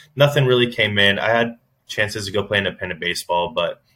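Very fast delivery pairs with pitch that varies in an ordinary way. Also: man. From Florida, Daytona area. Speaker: former pro baseball pitcher. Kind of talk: casual chat.

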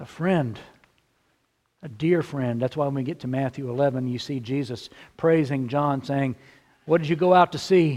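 A fairly high-pitched man in a Texan accent speaks with long, frequent pauses. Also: ordinary pitch variation, moderate pace. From central Texas. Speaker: pastor. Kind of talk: sermon.

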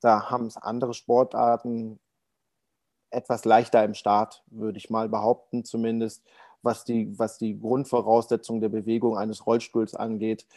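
A man's dark, mellow voice at medium pitch, flat and monotone, at a moderate pace, on a very clean recording with a silent background. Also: dry, close sound with no echo. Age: 30s. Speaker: para ice hockey goalie. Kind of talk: interview.

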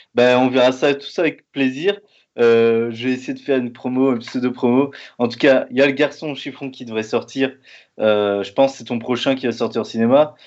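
A man uses a plain, everyday voice at medium pitch. He keeps a moderate pace and fairly even intonation. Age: 30s. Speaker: podcast host. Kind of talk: interview.

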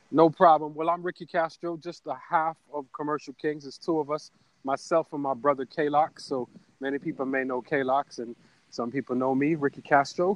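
This man, with a Caribbean accent, talks at a moderate pace with fairly even intonation and a fairly high pitch, captured in a dry, close recording with no echo. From Caribbean community. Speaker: ad agency owner and voice-over artist. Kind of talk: interview.

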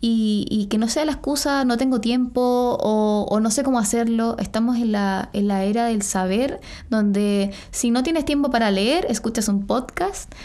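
The dark, mellow voice moves at a fairly slow pace with very even loudness and ordinary pitch variation, and audible room echo surrounds it. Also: woman, fairly high pitch for a woman. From Chile. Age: 20s. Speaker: model. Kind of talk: casual chat.

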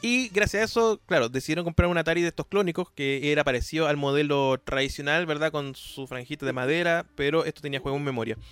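Speaking at a very fast pace with hardly any pauses, a man has a fairly high pitch, ordinary pitch variation and a dry, close sound with no echo. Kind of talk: casual interview.

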